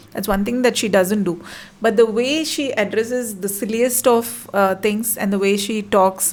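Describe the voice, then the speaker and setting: There is noticeable background noise behind this woman, whose intonation stays fairly even. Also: fairly high pitch for a woman, moderate pace. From Madurai, Tamil Nadu, India. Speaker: dancer and content creator. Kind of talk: casual chat.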